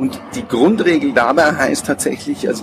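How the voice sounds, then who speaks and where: The man's intonation is lively at a moderate pace. Background noise can be clearly heard. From Munich, Bavaria. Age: 40s. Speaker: personnel assessment consultant. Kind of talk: interview. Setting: outdoors on a public square.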